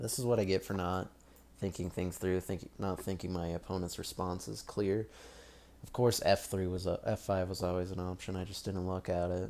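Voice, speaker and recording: Over a very clean recording with a silent background, a man with a very deep, low voice speaks at a moderate pace with fairly even intonation. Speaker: chess streamer. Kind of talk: live game commentary. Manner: halting.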